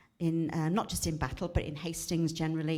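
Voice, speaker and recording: Audible room echo around a woman's very deep, low pitch. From South Wales, Cardiff. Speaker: retired teacher, charity speaker. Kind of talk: church talk.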